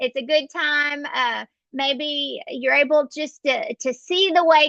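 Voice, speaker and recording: Dry and close with no echo, a woman's high-pitched voice has a bright, sharp tone and fairly even intonation. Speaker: astrologer. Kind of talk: horoscope forecast monologue. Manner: casual, with fillers.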